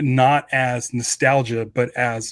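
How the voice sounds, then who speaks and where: Recorded very cleanly against a silent background, a man with a plain, everyday voice talks with fairly even intonation. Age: 40s. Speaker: podcast co-host. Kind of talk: casual chat.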